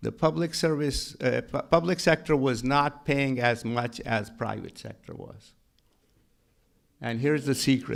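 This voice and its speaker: On a very clean recording with a silent background, a man with a strong Pakistani accent speaks at a fairly slow pace in a medium pitch, with ordinary pitch variation and big swings in loudness. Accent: heavy Pakistani. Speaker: county treasurer and tax collector. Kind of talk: panel talk. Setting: stage with audience. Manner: halting, repetitive starts.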